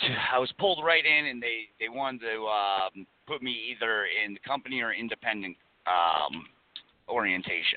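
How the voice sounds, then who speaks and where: Lively in intonation, a man with a medium pitch and a plain, everyday voice speaks at a moderate pace. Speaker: truck driver plaintiff. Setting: phone call.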